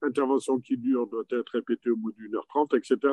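A man's fairly even intonation, with a quiet background and a dry sound with no echo. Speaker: orthopedic surgeon; panelist. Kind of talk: panel discussion. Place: hall. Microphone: podium.

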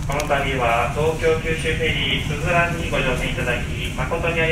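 A man speaks amid loud background noise, and room echo is audible. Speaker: ship crew announcer. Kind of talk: public address announcement. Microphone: pa.

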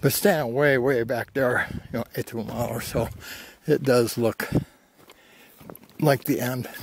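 A man talks at a moderate pace with fairly even intonation and long, frequent pauses. The sound is dry with no echo, though there is noticeable background noise. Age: 70s. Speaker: hiker. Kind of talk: casual talk to camera while hiking. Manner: relaxed, rambling. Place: open country. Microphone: phone near.

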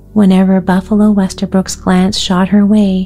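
Soft-spoken and soothing, the speaker goes at a fairly slow pace while music plays in the background. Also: woman. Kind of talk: bedtime story reading. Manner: soft, soothing.

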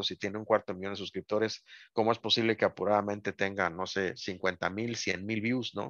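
The speaker moves at a fairly quick pace. The sound is dry with no echo, over a quiet background. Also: man. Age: 50s. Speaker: toy review YouTuber. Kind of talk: casual chat. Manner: serious. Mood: relaxed, reflective. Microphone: video call.

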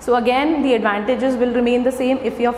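Amid light background noise and audible room echo, a woman talks at a fairly quick pace. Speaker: presenter. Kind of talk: lecture. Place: classroom. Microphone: camera far.

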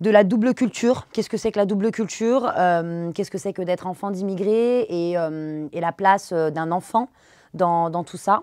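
A woman's medium-pitched voice with ordinary pitch variation at a moderate pace, dry with no echo against a quiet background. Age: 30s. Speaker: dance teacher and social media creator; dance teacher, social media creator. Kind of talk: interview. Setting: studio. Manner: halting, many fillers. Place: studio.

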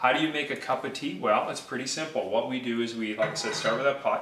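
A man speaks with fairly even intonation amid audible room echo and light background noise. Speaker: mortgage broker hosting a cooking video. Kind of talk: tutorial. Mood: friendly, relaxed. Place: kitchen. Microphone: camera far.

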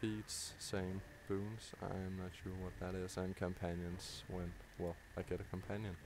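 Speaking with a Danish accent, a man delivers his words at a fairly slow pace in a very deep, low pitch with monotone, flat intonation. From Denmark. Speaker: gaming YouTuber. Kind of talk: live gameplay commentary. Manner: halting, many fillers.

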